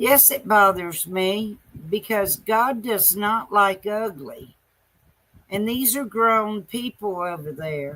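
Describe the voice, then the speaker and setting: A woman with a Southern US accent talks very slowly in a bright, sharp, medium-pitched voice with lively intonation. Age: 60s. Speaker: live streamer. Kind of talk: casual live-stream monologue. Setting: late night live stream.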